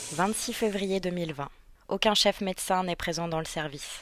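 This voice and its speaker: On a very clean recording with a silent background, a woman with an unremarkable speaking voice talks fairly slowly at a medium pitch with fairly even intonation. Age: 20s. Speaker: intensive care nurse. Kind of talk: scripted narration.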